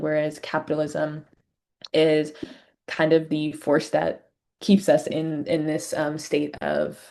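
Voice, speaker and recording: At a moderate pace, a woman talks in a very deep, low voice with a dark, mellow tone and monotone, flat intonation. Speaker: community organizer presenting a teach-in. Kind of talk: lecture-style presentation on video call. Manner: many fillers and hesitations (um, like).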